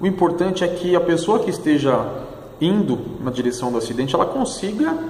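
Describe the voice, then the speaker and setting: A man with a high-pitched voice swings very widely in pitch, with audible room echo and noticeable background noise behind him. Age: 40s. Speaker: military police officer and motorcyclist. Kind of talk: safety tips talk.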